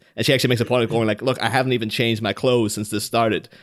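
A man speaks with an Irish accent. His intonation is monotone and flat. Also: very clean recording, silent background. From Ireland. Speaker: podcast co-host from another show. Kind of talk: casual chat.

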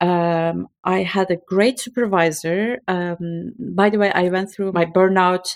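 A woman speaks at a fairly slow pace in a Turkish accent. The sound is dry and close, with no echo. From Turkey (Istanbul). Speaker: burnout coach for academics. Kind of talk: interview.

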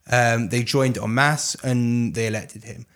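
Here a man talks with an English accent at a medium pitch. The recording is very clean, with a silent background. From London, England. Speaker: politics and communications expert. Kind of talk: interview briefing.

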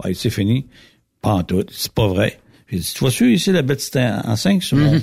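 A somewhat breathy man's voice at medium pitch, with very wide pitch swings and a moderate pace. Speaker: lubricant company representative. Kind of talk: casual chat.

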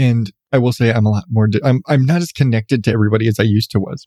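A man speaks at a fairly quick pace with a slightly mellow tone. His pitch varies in an ordinary way, in a dry, close sound with no echo.

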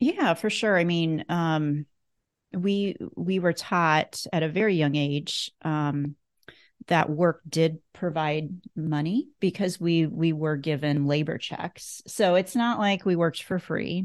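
Someone with an American accent speaks at a very slow pace with ordinary pitch variation over a quiet background. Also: woman, fairly low pitch for a woman. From US Midwest (northeast Nebraska). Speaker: clothier. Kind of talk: casual interview.

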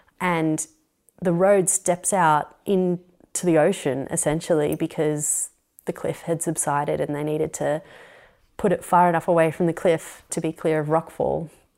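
A woman's fairly low voice in an Australian accent, monotone and flat, at a moderate pace on a very clean recording with a silent background. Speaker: architect. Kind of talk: interview. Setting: at her home.

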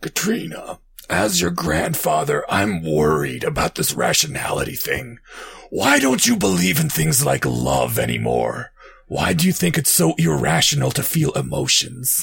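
A raspy, put-on character voice at a moderate pace and very even loudness. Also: man, very deep, low pitch for a man.

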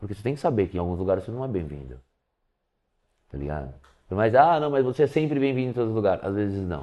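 With a fairly low pitch, very wide pitch swings, and big swings in loudness, a man talks at a very fast pace broken by long, frequent pauses. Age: 40s. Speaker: professional skateboarder. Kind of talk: casual interview.

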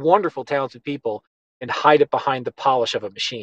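Talking at a very fast pace, a man with a Western New York accent speaks at a fairly high pitch with ordinary pitch variation. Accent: Western New York American. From Buffalo, New York. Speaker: animation director and producer. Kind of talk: interview conversation. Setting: studio.

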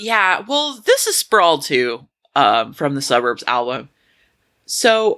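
A woman's bright, sharp tone at a fairly slow pace. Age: 30s. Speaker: podcast co-host. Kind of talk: casual chat.

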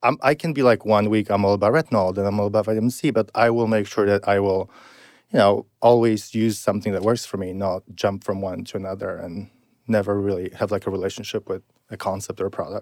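A man with a slight Polish accent talks at a very fast pace in a fairly low voice with fairly even intonation. The recording is very clean and the sound dry and close, with no echo and a silent background. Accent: light Polish-accented English. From Poland. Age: 30s. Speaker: beauty blogger. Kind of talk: interview. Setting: in-person studio.

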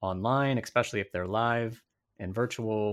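The recording is very clean with a silent background, as a man speaks at a moderate pace with ordinary pitch variation. He has a plain, everyday voice. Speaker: podcast host. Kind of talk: casual interview.

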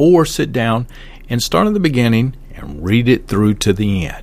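At a moderate pace, a man of medium pitch talks with a Southern US accent and lively intonation. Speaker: podcast host, martial arts teacher. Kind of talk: podcast episode with book review and sponsor read.

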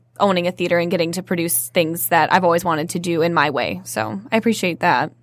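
With vocal fry and a fairly low pitch, a woman talks fairly quickly on a very clean recording with a silent background. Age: 20s. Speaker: actor and theater owner. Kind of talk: casual chat.

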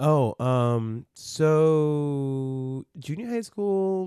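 A man's fairly high-pitched voice, dark and mellow in tone, with an American accent. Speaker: magician and actor. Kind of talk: casual chat. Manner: casual, filler-heavy, laughs often.

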